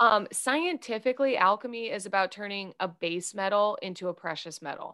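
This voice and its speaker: With an American accent, a woman talks in an animated, bright, sharp tone at a medium pitch, her intonation lively against a quiet background. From US Midwest. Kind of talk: interview. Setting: remote call.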